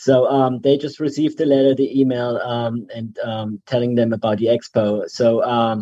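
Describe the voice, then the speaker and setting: Man with a German accent, medium pitch and a dark, mellow tone, monotone and flat in intonation at a fairly slow pace. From Germany. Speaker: chamber director of membership. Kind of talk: casual radio interview. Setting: video call.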